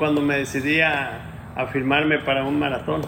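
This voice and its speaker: A man with a fairly high pitch speaks in a monotone, flat way, with audible room echo and noticeable background noise. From Mexico, Ciudad Guzmán, Jalisco. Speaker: ultramarathon runner. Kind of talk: interview.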